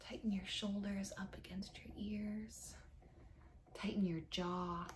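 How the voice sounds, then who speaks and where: A woman's very slow, monotone, flat delivery at a medium pitch, with vocal fry and light background noise. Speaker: meditation guide. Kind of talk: guided meditation, calm step-by-step muscle tension and release instructions. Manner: calm, instructional, measured, with a gentle, slow pace; casual and friendly in the opening, then soothing and directive. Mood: calm, soothing. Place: home room. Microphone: webcam.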